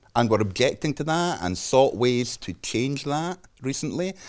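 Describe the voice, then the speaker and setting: In a Scottish accent, a man at medium pitch speaks at a moderate pace with very wide pitch swings, in a very clean recording with a silent background. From Scotland. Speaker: journalist. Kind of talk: interview.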